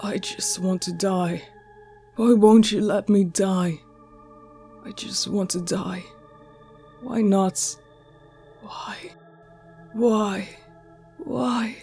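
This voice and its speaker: In a hoarse, put-on character voice at a middle pitch, the speaker goes very slowly with long, frequent pauses while music plays clearly in the background. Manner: repetitive, despairing mumble.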